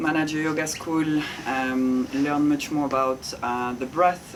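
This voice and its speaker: A woman with a French accent and a very deep, low pitch, fairly even in intonation, over noticeable background noise. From France. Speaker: ice bath facilitator and yoga teacher. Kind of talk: interview conversation.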